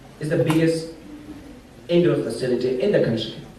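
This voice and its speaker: A man speaks at a moderate pace with fairly even intonation. Audible room echo surrounds his voice. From Afghanistan. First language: Pashto. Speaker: sport-for-development site manager. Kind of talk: conference panel talk. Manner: halting.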